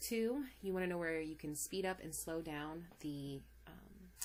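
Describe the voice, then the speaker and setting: A woman speaking at a fairly slow pace, with audible room echo. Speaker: math teacher. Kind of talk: lecture. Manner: animated.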